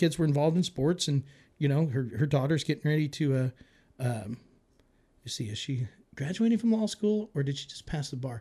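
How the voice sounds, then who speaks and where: This man's somewhat breathy voice sits at a fairly high pitch with a dark, mellow tone, moving at a moderate pace with lively intonation. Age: 40s. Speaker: conservative political activist. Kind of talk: casual chat. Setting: studio.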